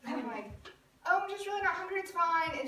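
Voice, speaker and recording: An animated voice with a Southern US accent comes through with audible room echo and noticeable background noise. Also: woman. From US South, Birmingham, Alabama. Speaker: youth club leader. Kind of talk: personal talk to a group. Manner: animated storytelling.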